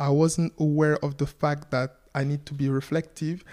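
A dark, mellow tone with monotone, flat intonation, in a very clean recording with a silent background. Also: man. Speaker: entrepreneur. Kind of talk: casual interview. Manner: fast.

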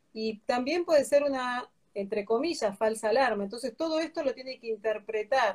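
Her voice is high-pitched. The woman's pitch varies in an ordinary way. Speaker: breast imaging physician. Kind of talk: interview.

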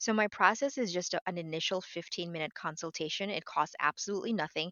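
In an American accent, a woman talks at a fairly quick pace with fairly low pitch, ordinary pitch variation and an unremarkable speaking voice. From New York City. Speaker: health insurance advisor and doctor. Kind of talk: interview.

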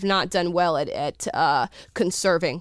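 A woman speaks in an animated tone with a Californian accent on a very clean recording with a silent background. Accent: General American (California). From US. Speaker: YouTube show host. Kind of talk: casual chat.

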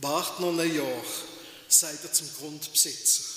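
Noticeable background noise sits behind a man speaking at a very slow pace. His fairly high pitch carries a warm tone and fairly even intonation. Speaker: pastor. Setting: church. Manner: unhurried, warm, reflective with pauses, ending in encouragement.

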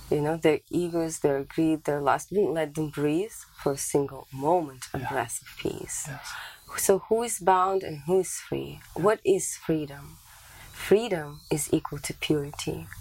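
Against noticeable background noise, a woman with a very deep, low pitch speaks at a fairly slow pace with big swings in loudness. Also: ordinary pitch variation. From Canada. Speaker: spiritual teacher. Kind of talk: interview.

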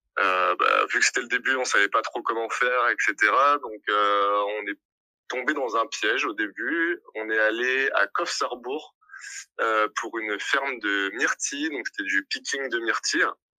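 A man talks at a very slow pace. The sound is dry and close with no echo, on a very clean recording with a silent background. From southern France, Montpellier. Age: 20s. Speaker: hospitality manager, working holiday traveller. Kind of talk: casual interview testimony. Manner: hesitant, many fillers.

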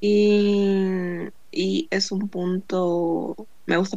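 Her pitch fairly low and her intonation fairly even, a woman talks in a plain, everyday voice. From Bolivia. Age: 20s. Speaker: podcast co-host, accounting graduate. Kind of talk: casual chat.

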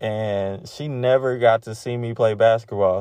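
Speaking very slowly, a man is heard over a quiet background. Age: 30s. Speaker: podcast host. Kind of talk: personal monologue. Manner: halting.

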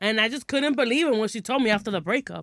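At a very fast pace, a woman with a New York accent and a fairly high pitch speaks in an animated tone with ordinary pitch variation, in a very clean recording with a silent background and a dry, close sound with no echo. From Brooklyn, New York. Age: 20s. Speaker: podcast guest. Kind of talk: casual chat. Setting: studio.

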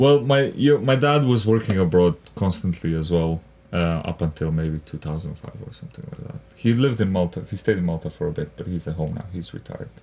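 A man's very deep, low voice with a Macedonian accent, at a fairly quick pace, with very wide pitch swings and big swings in loudness. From North Macedonia. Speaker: stand-up comedian and actor. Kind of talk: casual interview chat.

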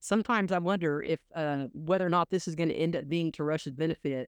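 Over a quiet background, a woman with an ordinary speaking voice talks at a fairly low pitch and a fairly quick pace, the sound dry and close with no echo. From Oklahoma. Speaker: energy investment expert. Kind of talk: casual interview.

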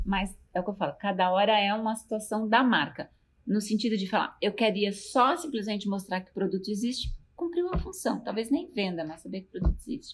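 Her pitch sits in the middle range as a woman speaks at a fairly quick pace, her intonation lively and her voice somewhat breathy. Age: 50s. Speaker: university professor. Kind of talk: interview.

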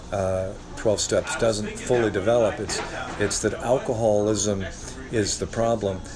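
Noticeable background noise sits behind a man with an American accent. He talks at a moderate pace with a fairly low pitch and fairly even intonation. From Northwest Ohio. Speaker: guest. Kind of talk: casual conversational interview.

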